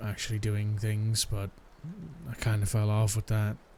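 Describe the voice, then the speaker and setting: A soft-spoken man with a fairly low pitch talks in a calm tone over noticeable background noise. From Ireland. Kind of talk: ASMR boyfriend roleplay, casual talk. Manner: soft-spoken, calm.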